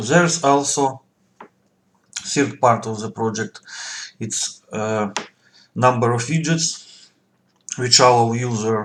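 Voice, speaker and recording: A man speaks at a very slow pace with long, frequent pauses. His medium-pitched voice has ordinary pitch variation. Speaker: software developer. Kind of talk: tutorial. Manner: halting, with many fillers.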